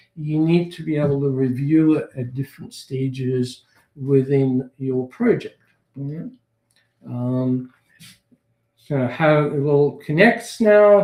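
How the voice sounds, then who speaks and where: A man's fairly high voice, dark and mellow in tone, at a very slow pace. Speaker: webinar presenter. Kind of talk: webinar presentation. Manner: hesitant with fillers.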